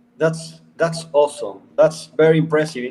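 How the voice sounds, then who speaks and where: A man is speaking. He has an Argentine accent. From Argentina, Buenos Aires. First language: Spanish. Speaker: company CEO. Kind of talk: casual live stream chat. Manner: halting.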